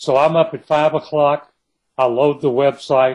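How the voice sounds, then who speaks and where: He speaks with an East Texas accent and fairly high pitch. His intonation is monotone and flat. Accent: East Texas Southern drawl. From East Texas, Kilgore. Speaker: novelist. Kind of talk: interview.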